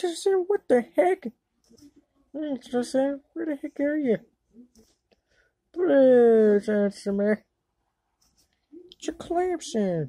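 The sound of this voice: A woman uses a cartoonish character voice with a high pitch, a dark, mellow tone and lively intonation. She speaks at a slow pace with long, frequent pauses.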